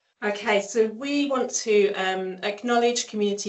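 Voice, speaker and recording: This woman has an English accent. She talks at a fairly slow pace. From England. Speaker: speech pathologist. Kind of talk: online seminar presentation. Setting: online seminar.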